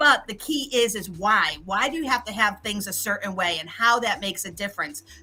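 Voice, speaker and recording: At a fairly quick pace with hardly any pauses, a woman speaks in an animated tone at a medium pitch, her intonation lively. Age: 60s. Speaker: LinkedIn expert and business mentor. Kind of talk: virtual summit talk.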